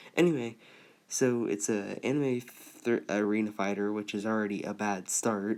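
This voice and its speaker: A man speaks quietly in a fairly low voice. His pitch varies in an ordinary way. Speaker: gaming YouTuber. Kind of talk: unscripted video review. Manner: halting, many false starts.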